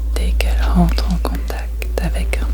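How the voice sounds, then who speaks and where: Noticeable background noise fills the recording. A woman talks in a very deep, low pitch. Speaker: ASMR artist performing monologues. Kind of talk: ASMR storytelling performance. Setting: binaural recording. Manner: soft, slow, intimate.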